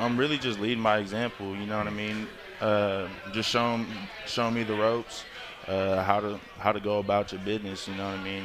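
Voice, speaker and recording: Speaking very fast in a flat, monotone way, a man with a fairly low pitch is heard over noticeable background noise and audible room echo. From Northern California, Concord. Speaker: college football player. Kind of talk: radio interview. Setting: live venue broadcast.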